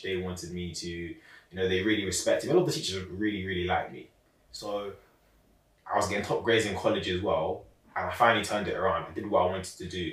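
A very fast man with a London accent and a fairly low pitch. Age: 20s. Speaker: young entrepreneur and public speaker. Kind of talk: casual interview.

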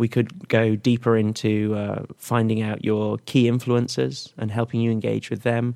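A man speaks at medium pitch with hardly any pauses. His tone is dark and mellow, and his intonation fairly even. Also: moderate pace. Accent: English. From England. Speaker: tech startup product head. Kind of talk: interview.

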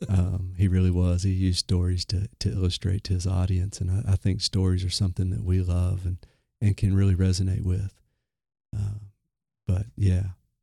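In a very deep, low voice with a dark, mellow tone, a man speaks at a moderate pace with flat, monotone intonation and a somewhat breathy quality. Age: 30s. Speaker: ministry recovery coordinator. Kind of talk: interview. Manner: halting.

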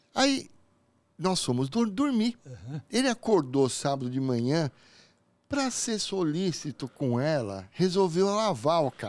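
On a very clean recording with a silent background, a man speaks fairly slowly. His voice is fairly high, with very wide pitch swings. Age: 50s. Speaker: podcast host. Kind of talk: casual chat. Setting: studio. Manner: animated.

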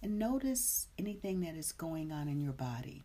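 Somewhat breathy and very deep in pitch, a woman speaks fairly slowly in a dark, mellow, warm, upbeat tone with very wide pitch swings. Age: 50s. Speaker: meditation teacher. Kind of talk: live-streamed guided meditation, gently leading breathwork and body awareness; casual chat greeting live viewers. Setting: live stream. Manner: slow, soothing, soft-spoken meditation guidance; warm, chatty and upbeat.

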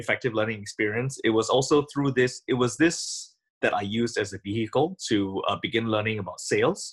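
The speaker is somewhat breathy, with ordinary pitch variation. The pace is fairly quick. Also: man, hardly any pauses. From Singapore. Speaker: audio company founder and composer. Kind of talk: interview.

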